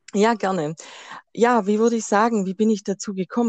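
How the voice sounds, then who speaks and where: A woman at medium pitch speaks at a moderate pace in a Swabian accent. The sound is dry and close with no echo, over a quiet background. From Swabia, Germany. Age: 30s. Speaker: tarot card reader. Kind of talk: interview.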